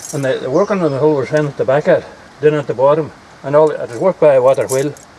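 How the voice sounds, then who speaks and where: With a Donegal accent, a man speaks very fast in a fairly high pitch, his intonation fairly even, over noticeable background noise. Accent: Donegal Ulster Scots. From Ireland, East Donegal. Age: 80s+. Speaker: local elder. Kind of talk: casual chat.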